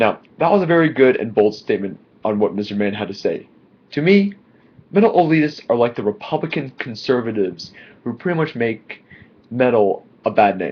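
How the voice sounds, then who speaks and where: Speaking quietly, a man lets his pitch swing very widely. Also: medium pitch for a man, fairly quick pace. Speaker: YouTube vlogger. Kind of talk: casual opinion vlog.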